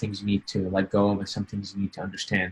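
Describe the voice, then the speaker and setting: A man speaks in a somewhat breathy voice. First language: not English. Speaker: LSAT student being coached. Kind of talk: coaching session. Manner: halting, many fillers.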